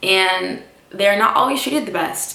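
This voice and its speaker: A woman with an American accent at a medium pitch and a fairly slow pace, amid noticeable background noise and audible room echo. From United States. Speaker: vlogger and expat English teacher. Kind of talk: casual vlog talk to camera. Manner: conversational with many fillers.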